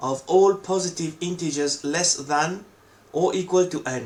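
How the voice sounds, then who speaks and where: Spoken at a fairly slow pace with a non-native accent, the voice shows ordinary pitch variation. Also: man. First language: not English. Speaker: coding tutorial creator. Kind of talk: tutorial.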